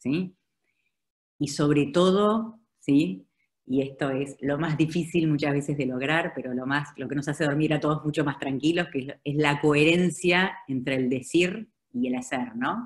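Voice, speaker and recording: Against a quiet background, a woman with an Argentine accent speaks at a very deep, low pitch and a fairly slow pace, with ordinary pitch variation. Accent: Argentine Spanish (Rioplatense). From Argentina. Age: 50s. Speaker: advertising executive; speaker. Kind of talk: webinar presentation. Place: home room. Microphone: video call.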